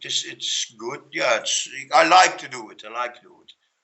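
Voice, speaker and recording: Speaking with a Dutch accent, a man takes a fairly slow pace. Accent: Dutch accent, non-native English. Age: 40s. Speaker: Facebook group founder, construction worker. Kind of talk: interview. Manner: halting, many fillers and repetitions.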